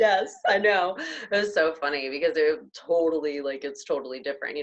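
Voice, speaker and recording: A woman speaks at a fairly low pitch and moderate pace, with ordinary pitch variation. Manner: chatty, friendly.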